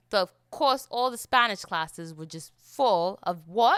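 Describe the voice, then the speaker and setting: A woman with a British accent, fairly high in pitch and bright, sharp in tone, in a dry, close sound with no echo on a very clean recording with a silent background. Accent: put-on British accent over American. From South Florida. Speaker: podcast host. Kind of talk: casual solo podcast monologue. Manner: fast.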